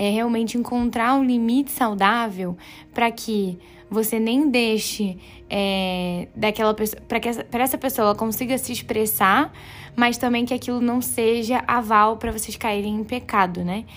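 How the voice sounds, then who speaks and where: A woman speaks in a plain, everyday voice, fairly high in pitch, at a fairly slow pace. Her intonation is fairly even, and the recording is very clean with a silent background. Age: 20s. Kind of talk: devotional teaching talk. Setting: home bedroom. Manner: casual, conversational.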